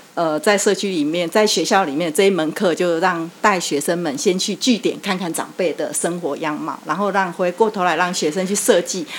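A plain, everyday voice from a woman, medium in pitch, with ordinary pitch variation at a moderate pace. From Taiwan, Yilan. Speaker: neighborhood chief and lecturer. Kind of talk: interview.

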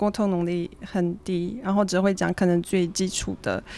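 An ordinary speaking voice moves at a moderate pace, its intonation fairly even. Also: woman. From Switzerland. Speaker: student and traveler sharing her story. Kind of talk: interview.

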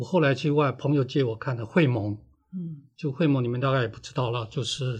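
The man's medium-pitched voice is somewhat breathy. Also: ordinary pitch variation, quiet background. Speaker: author and veteran editor. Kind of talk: interview. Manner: unhurried, leisurely; halting, with fillers.

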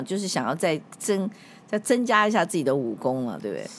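A woman speaks at a medium pitch with very wide pitch swings. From Taiwan, Kaohsiung. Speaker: podcast host, public relations veteran. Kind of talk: announcement; interview.

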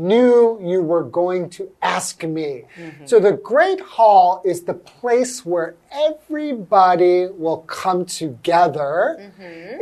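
Speaking very slowly, a woman with a medium pitch uses lively intonation while her volume rises and falls sharply. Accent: Californian. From US, Los Angeles. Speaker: English teacher, co-host. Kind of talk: English lesson chat.

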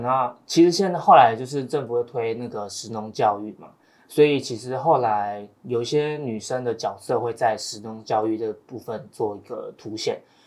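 A man speaks with a normal speaking voice at a moderate pace. His pitch is medium, with ordinary variation. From Taiwan, Taoyuan. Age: young. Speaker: young farmer. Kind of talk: casual chat.

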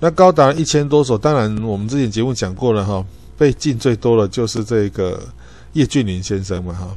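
A man with a Taiwanese accent speaks at medium pitch and a fairly quick pace. His intonation is lively, and the background is quiet. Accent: Taiwanese Mandarin. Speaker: podcast host. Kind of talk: solo educational talk. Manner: frequent filler particles and self-corrections.

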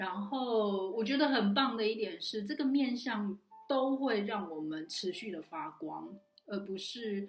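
A woman's lively intonation at a fairly slow pace. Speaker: online community organizer and talk host. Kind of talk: solo recap talk to camera.

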